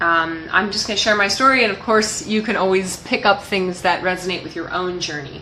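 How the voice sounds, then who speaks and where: There is audible room echo around this woman's voice. Noticeable background noise runs underneath. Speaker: life coach. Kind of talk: motivational talk to camera. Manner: loud, expressive.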